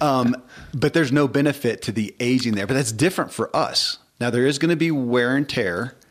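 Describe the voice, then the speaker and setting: A man talks at a fairly quick pace with ordinary pitch variation. His voice is medium-pitched, an ordinary speaking voice. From US South (Kentucky). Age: 50s. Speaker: podcast host. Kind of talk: casual chat.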